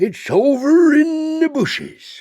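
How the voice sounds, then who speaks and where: A man puts on a character voice at an extremely high pitch. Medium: read story. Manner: rambling, offbeat.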